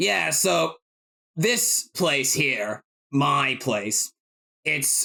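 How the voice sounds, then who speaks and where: Using a raspy, put-on character voice at a medium pitch, a man talks very slowly with long, frequent pauses. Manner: world-weary, confiding.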